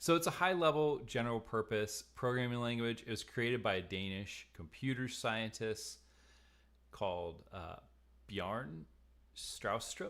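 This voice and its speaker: With an American accent, a man with an unremarkable speaking voice talks at a fairly slow pace in a medium pitch and lively intonation, in a very clean recording with a silent background. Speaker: online course instructor. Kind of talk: lecture. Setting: live stream. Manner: casual, with filler words.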